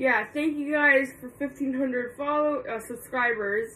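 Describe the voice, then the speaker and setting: A woman is speaking. Her intonation is fairly even. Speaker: vlogger. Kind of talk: casual vlog chat. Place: home room. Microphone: phone near.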